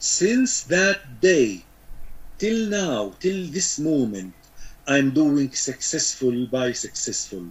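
Speaking very slowly with an Arabic accent, a man uses a fairly high pitch and very wide pitch swings. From Syria. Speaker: beekeeping expert; guest. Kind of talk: interview. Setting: video call. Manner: halting. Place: home room. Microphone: video call.

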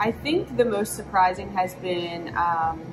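Music plays in the background while a woman speaks at a fairly slow pace. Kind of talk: interview answer. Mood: relaxed, friendly. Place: cafe. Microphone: camera far.

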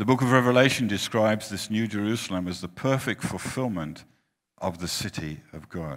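A man speaks at a moderate pace in a fairly low pitch, his intonation lively and his loudness swinging widely, over a quiet background. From Finland. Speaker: preacher. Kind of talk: sermon. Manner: short phrases with pauses for interpreter. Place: hall.

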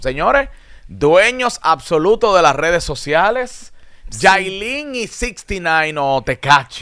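With a bright, sharp tone, a man speaks at a high pitch and a very slow pace. His pitch swings very widely, and the background is quiet. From Dominican Republic. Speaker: radio host. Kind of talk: casual talk show discussion. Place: studio. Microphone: studio mic.

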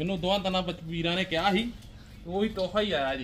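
Speaking fast, a man uses a high pitch, a fairly bright tone and ordinary pitch variation.

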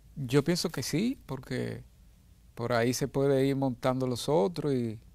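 The recording is dry, with no echo. A man talks with fairly even intonation. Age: 60s. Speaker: musician. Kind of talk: interview. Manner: halting. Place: studio. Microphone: lapel.

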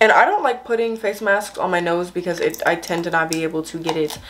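Fairly low in pitch, the woman's voice shows ordinary pitch variation. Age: young. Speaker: lifestyle and hygiene YouTuber. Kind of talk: casual talk to camera. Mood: warm, encouraging. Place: home room. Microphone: camera far.

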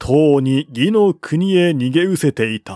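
A man at a slow pace, dark and mellow in tone, with ordinary pitch variation, in a dry, close sound with no echo and a very clean recording with a silent background

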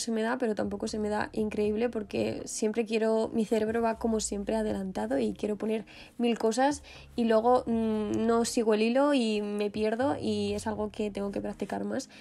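In a Spanish accent, a woman speaks at a moderate pace with a fairly high pitch, a dark, mellow tone and fairly even intonation. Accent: Peninsular Spanish. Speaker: fashion and lifestyle youtuber. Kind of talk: vlog voiceover.

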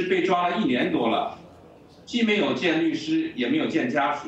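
The voice belongs to a man. Audible room echo surrounds it. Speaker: news correspondent. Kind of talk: news report to anchor.

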